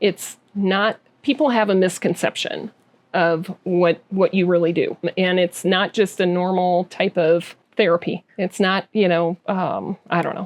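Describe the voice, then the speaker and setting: A woman speaks in a normal speaking voice at medium pitch. Her pace is fairly slow and her intonation fairly even. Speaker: podcast host. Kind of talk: interview question.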